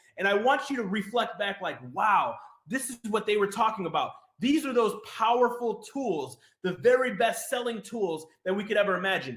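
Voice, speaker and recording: A man talks with lively intonation. His pitch is high. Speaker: online business coach. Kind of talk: webinar presentation. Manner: fast; animated.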